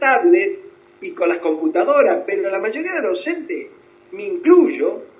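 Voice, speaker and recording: Over music in the background, a man talks at a moderate pace with very wide pitch swings, and audible room echo surrounds his voice. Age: 70s. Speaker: psychologist. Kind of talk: interview. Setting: video call.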